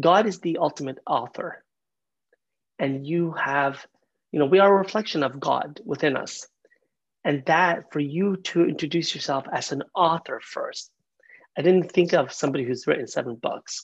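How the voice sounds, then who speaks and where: Long, frequent pauses break up speech at a moderate pace over a quiet background. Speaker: podcast host. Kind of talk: casual interview. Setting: video call. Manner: energetic, all over the place.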